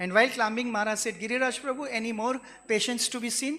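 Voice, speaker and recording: The speaker talks at a fairly quick pace with a Gujarati accent. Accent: Indian (Gujarati) English. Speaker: devotee giving a glorification speech. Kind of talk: devotional speech with personal anecdotes.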